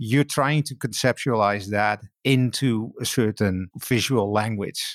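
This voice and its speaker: Speaking at a fairly slow pace with a non-native accent, a man at medium pitch shows ordinary pitch variation, recorded dry and close with no echo on a very clean recording with a silent background. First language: not English. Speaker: technology executive and author. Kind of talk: podcast interview.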